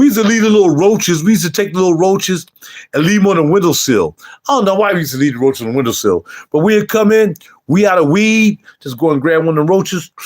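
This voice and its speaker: Loud and very fast, a man talks in an animated tone, high-pitched with lively intonation. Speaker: YouTube livestreamer and fragrance reviewer. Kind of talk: casual livestream chat.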